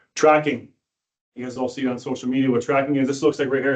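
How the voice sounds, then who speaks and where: A man with a Canadian accent at a very fast pace, in monotone, flat intonation. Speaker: police sergeant, dog handler trainer. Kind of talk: presentation to police board.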